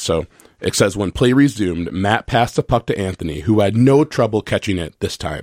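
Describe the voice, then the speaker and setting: A man speaks in an ordinary speaking voice with an American accent. The recording is very clean with a silent background and a dry, close sound with no echo. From Minnesota. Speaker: children's book author and law student. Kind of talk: radio interview. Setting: studio.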